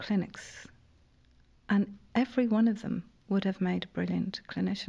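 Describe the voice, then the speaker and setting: On a very clean recording with a silent background, a woman with a Dublin accent speaks at a fairly slow pace in a dark, mellow, somewhat breathy tone. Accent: Irish (Dublin). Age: 50s. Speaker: playwright and newspaper columnist. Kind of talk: casual chat.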